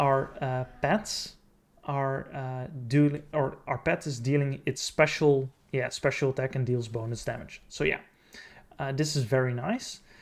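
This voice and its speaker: Mumbling and somewhat breathy, a man speaks at a fairly slow pace, his fairly high pitch showing ordinary variation. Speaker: gaming video creator. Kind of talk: tutorial. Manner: halting.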